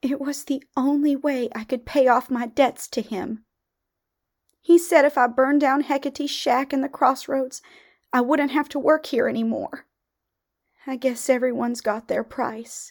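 A female-sounding, put-on character voice comes through high and shaky at a moderate pace. The recording is very clean, with a silent background.

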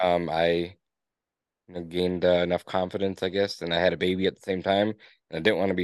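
A man speaks very fast in a very deep, low voice with monotone, flat intonation. The background is quiet. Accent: Upper Peninsula Michigan. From Upper Peninsula of Michigan (Escanaba). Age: 30s. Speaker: business owner. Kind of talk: interview. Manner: casual.

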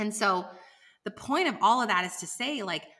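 At a moderate pace, a woman with a fairly high pitch speaks in an animated tone with very wide pitch swings. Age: 30s. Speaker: business coach. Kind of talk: interview.

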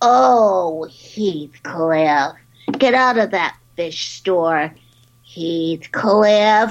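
A female-sounding voice in a put-on character voice speaks at a very slow pace with a fairly low pitch for a woman. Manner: cartoonish, exclamatory.

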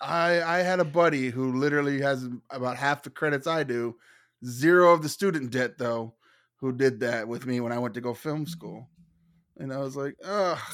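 An ordinary speaking voice from a man at medium pitch, with ordinary pitch variation and a moderate pace, in a very clean recording against a silent background. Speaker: movie podcaster. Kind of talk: casual chat.

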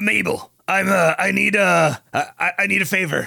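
Putting on a character voice, a man speaks in a high, raspy pitch.

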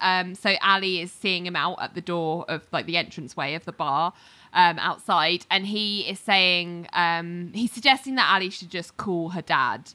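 In a very clean recording with a silent background, a woman with a British accent speaks at a medium pitch and a fairly slow pace in a bright, sharp tone. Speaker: podcast co-host. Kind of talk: casual chat.

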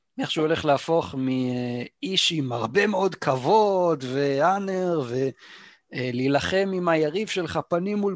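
Speaking at a very slow pace, a man uses lively intonation. The background is quiet, and the sound is dry and close with no echo. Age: 30s. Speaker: gaming podcast co-host. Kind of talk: casual chat.

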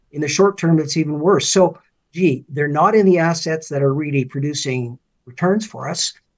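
In a Canadian accent, a man with an unremarkable speaking voice and a fairly high pitch talks at a moderate pace. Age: 60s. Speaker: finance commentator and former political candidate. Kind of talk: interview.

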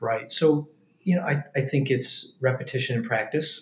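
Fairly even in intonation and moderate in pace, this is an ordinary speaking voice. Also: man. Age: 50s. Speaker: pediatric orthopedic surgeon. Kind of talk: casual chat. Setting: hotel suite, in person.

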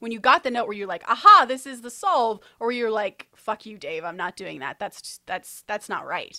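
Her bright, sharp tone sits at a fairly high pitch, and the woman's lively intonation comes through in a dry, close sound with no echo. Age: 30s. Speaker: screenwriter and podcast host. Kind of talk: casual chat.

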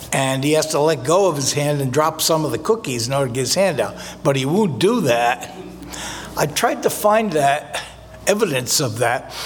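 Against noticeable background noise, a man with an American accent speaks at a moderate pace, his fairly high voice full of lively intonation. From US Northeast, North Jersey. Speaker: pastor. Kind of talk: sermon. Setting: church.

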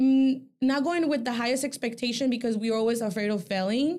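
A woman with a Mexican accent talks at a fairly quick pace. Her pitch is high, with ordinary variation. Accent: Mexican-sounding. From El Salvador. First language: Spanish. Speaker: boutique owner. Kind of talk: casual chat. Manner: hesitant with fillers.

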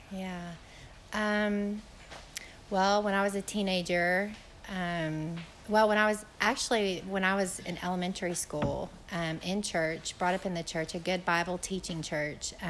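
A woman of medium pitch at a fairly slow pace, fairly even intonation, and audible room echo. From Chattanooga, Tennessee. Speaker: missionary. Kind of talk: interview at church event.

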